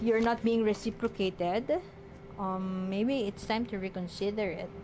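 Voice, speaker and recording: A woman with a non-native accent talks at a moderate pace and a fairly high pitch. There is noticeable background noise. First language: not English. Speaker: tarot reader. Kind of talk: tarot reading. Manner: halting, many fillers.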